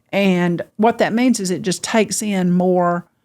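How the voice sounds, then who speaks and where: On a very clean recording with a silent background, a woman talks very slowly. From Georgia. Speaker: podcast host. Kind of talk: podcast conversation.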